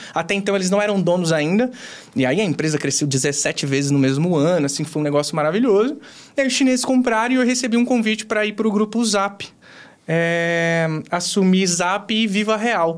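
The speech moves at a moderate pace with lively intonation. Its loudness stays very even. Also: man, high pitch for a man. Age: 30s. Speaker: customer service director. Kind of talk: interview conversation.

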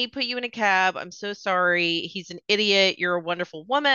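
Ordinary pitch variation in plain reading aloud

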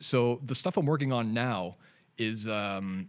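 On a very clean recording with a silent background, a man with a Canadian accent speaks at medium pitch in a normal speaking voice with lively intonation. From Canada. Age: 40s. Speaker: digital artist and designer. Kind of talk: casual interview. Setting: studio.

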